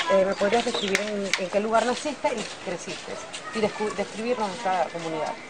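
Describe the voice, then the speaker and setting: Loud background noise surrounds this recording. A woman speaks over it at a moderate pace. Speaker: interviewer. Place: street. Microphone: phone near.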